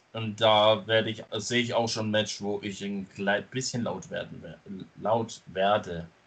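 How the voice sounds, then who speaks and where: A man is talking. His voice sits at a medium pitch. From Stuttgart, Germany. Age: 20s. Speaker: wrestling podcast host. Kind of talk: casual chat. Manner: loud at times.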